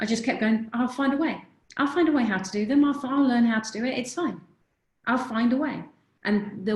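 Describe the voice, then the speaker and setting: There's lively intonation in a woman's somewhat breathy voice. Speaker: confidence coach. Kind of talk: webinar presentation.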